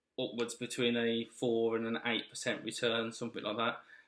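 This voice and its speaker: A man talks at a moderate pace with a Birmingham accent. His pitch sits in the medium range. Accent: Birmingham (Brummie). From Birmingham, England. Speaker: investing channel host, military serviceman. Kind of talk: casual vlog explanation. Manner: halting, with fillers and restarts.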